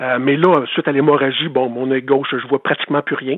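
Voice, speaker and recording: Speaking with a Quebec accent, a man uses a fairly high pitch. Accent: Québécois French. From Quebec, Eastern Townships. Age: 50s. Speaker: former hockey goalie, author. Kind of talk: interview. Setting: phone call.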